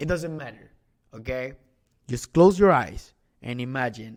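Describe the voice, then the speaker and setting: Animated man at a fairly slow pace with lively intonation, in a very clean recording with a silent background. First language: not English. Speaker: e-commerce coach. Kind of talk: sales pitch. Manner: halting.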